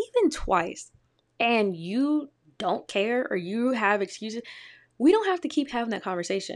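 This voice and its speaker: A plain, everyday voice from a woman with an American accent, moderate pace and lively intonation, on a very clean recording with a silent background. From Detroit, Michigan, US. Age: 20s. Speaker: podcast host. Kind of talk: solo casual commentary.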